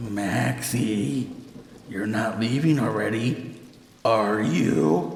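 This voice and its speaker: A man uses a put-on character voice, guttural and fairly low, with clear echo around it. He speaks at a very slow pace. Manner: inhuman, eerie.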